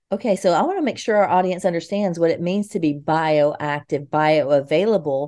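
A woman's fairly low, dark and mellow voice at a moderate pace, with ordinary pitch variation and hardly any pauses. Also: quiet background. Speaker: podcast host, nurse. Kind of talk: interview, show intro.

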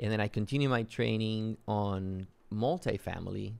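A man with a Spanish accent, fairly low pitch, fairly even intonation and a very slow pace. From Mexico (Yucatan, raised in Matamoros). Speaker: real estate investor. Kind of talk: interview.

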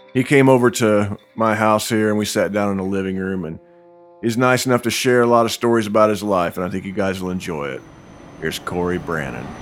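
Against noticeable background noise, a man speaks at a fairly quick pace, his fairly low pitch showing ordinary variation. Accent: American. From Indiana. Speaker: podcast host and musician. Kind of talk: casual chat. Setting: living room at home.

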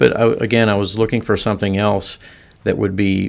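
On a very clean recording with a silent background, a man with an American accent speaks at a moderate pace and a fairly low pitch, his intonation monotone and flat. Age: 60s. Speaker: semi-retired financial firm employee. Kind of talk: podcast interview.

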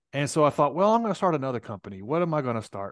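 Over a quiet background, a man speaks with a Tennessee accent. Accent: Southern US (Tennessee). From US South, Nashville. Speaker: tech entrepreneur. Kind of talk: interview.

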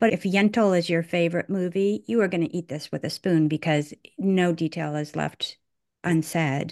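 An ordinary speaking voice from a woman, fairly low in pitch, with ordinary pitch variation at a moderate pace. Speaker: podcast co-host. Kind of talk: casual chat.

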